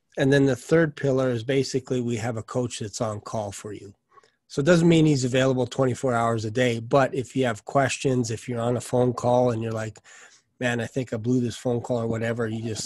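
Over a quiet background, a man speaks at a fairly quick pace with fairly even intonation. The sound is dry, with no echo. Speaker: sales coach. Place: home room. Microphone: studio mic.

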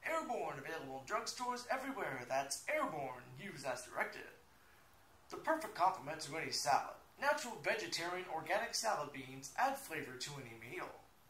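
At a fairly quick pace, a high-pitched man talks with very wide pitch swings and big swings in loudness, with audible room echo and light background noise. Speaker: aspiring game show announcer. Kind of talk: TV commercial read. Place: home room. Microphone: phone near.

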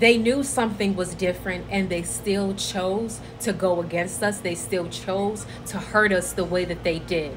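Noticeable background noise runs under a woman talking at a moderate pace, her pitch varying in an ordinary way. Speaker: social media creator. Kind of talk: casual vlog chat. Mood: earnest, reflective. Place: home room. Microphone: phone near.

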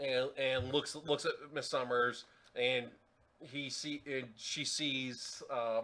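What the clip offers is plain reading aloud.

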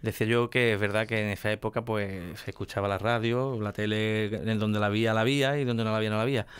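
Speaking at a very fast pace with hardly any pauses, a man keeps a monotone, flat intonation at a fairly low pitch. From El Puerto de Santa María, Andalusia, Spain. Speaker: radio host of a flamenco programme. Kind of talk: radio interview. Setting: radio studio, filmed. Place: studio. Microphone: studio mic.

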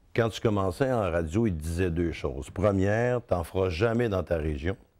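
The speaker has a Quebec accent and lively intonation at a moderate pace. The background is quiet. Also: man. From Quebec, Outaouais (Hull). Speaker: radio host. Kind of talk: interview. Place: studio. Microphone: lapel.

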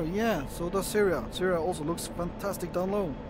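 Speech with a Dutch accent at a moderate pace amid noticeable background noise. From Netherlands. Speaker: gaming video creator. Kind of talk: gameplay commentary. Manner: casual, hesitant with fillers.

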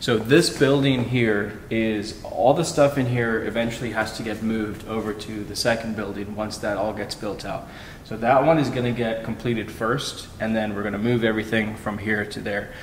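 A man speaks at a moderate pace, with light background noise and audible room echo. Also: fairly even intonation. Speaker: reseller vlogger. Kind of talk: casual vlog chat. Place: factory. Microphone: phone near.

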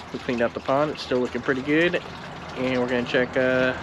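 Loud background noise runs throughout. Over it, a man speaks. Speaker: tortoise keeper vlogger. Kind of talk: casual vlog chat. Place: garden. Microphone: phone near.

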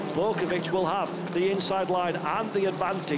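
Over noticeable background noise, a man with a high voice speaks in an excited, animated tone. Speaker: race commentator. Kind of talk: live race commentary. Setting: motorsport race broadcast voiceover. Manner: fast, excited play-by-play; animated, punchy, rising with the action.

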